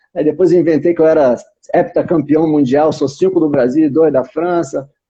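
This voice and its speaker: His tone is dark and mellow. The man moves along at a fairly quick pace. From Brazil. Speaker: channel host. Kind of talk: casual interview. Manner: animated.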